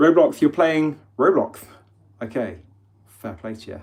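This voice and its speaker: In an English accent, a man talks at a moderate pace. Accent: English accent, noticed by viewers. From England. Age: 30s. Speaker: livestreamer. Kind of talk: casual livestream chat. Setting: live stream. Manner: chatty, informal.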